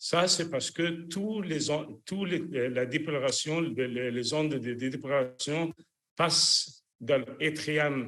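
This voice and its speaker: At a very slow pace, a man with a fairly high pitch speaks with ordinary pitch variation. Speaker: cardiologist, electrophysiologist. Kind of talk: lecture. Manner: halting, many fillers.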